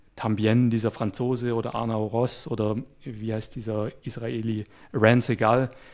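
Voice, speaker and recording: The pace is fairly slow as a man speaks at a medium pitch in a flat monotone. His recording is very clean, the background silent. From Swabia, near Stuttgart, Germany. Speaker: web developer and YouTuber. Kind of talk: casual interview conversation. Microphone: good microphone.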